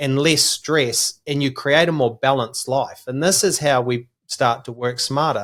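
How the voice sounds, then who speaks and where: The speaker is a man with a New Zealand accent and a fairly high pitch. His pace is moderate. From New Zealand, small country town. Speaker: business coach. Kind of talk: podcast interview.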